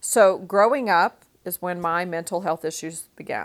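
The recording is very clean, with a silent background. A woman speaks at a fairly slow pace in a Texan accent. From West Texas, small town. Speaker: podcast host. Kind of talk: personal storytelling monologue.

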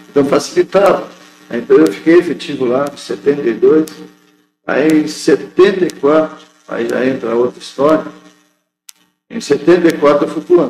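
A man with a fairly high pitch and ordinary pitch variation, speaking at a very slow pace with long, frequent pauses. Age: 60s. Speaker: union official and factory worker. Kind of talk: interview. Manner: halting.

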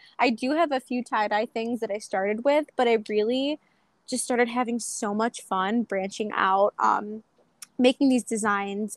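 Recorded dry and close with no echo, a woman with a Western New York accent speaks at a fairly high pitch with fairly even intonation. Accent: Western New York (Inland North) American. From Buffalo, New York. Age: 20s. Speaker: small business owner. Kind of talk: casual interview.

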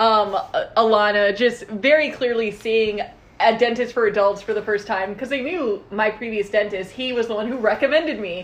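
Speaking at a moderate pace, a woman has a fairly high voice with ordinary pitch variation. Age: 20s. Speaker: podcast co-host. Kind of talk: casual chat. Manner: animated.

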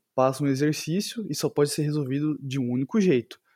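A man's dark, mellow voice at a moderate pace, dry and close with no echo, on a very clean recording with a silent background. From Carapicuíba, São Paulo state, Brazil. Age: 20s. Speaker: physics teacher. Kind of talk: casual chat.

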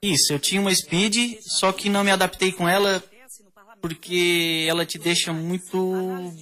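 Against noticeable background noise, a man with a high pitch speaks in a raised, projected voice, fairly slowly and in a flat monotone. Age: 30s. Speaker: auto electrician and amateur cyclist. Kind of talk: casual radio interview.

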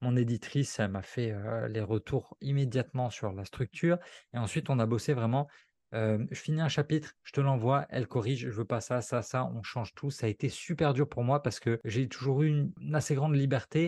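A man's dark, mellow voice at a medium pitch, dry and close with no echo, over a quiet background. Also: ordinary pitch variation, moderate pace. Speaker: copywriter and author. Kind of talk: casual interview. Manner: fluid, natural delivery.

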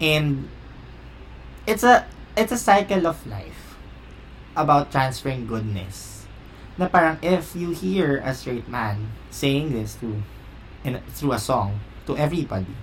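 A man speaks at a fairly slow pace, with long, frequent pauses. Noticeable background noise sits behind him. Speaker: podcast host. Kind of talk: casual chat.

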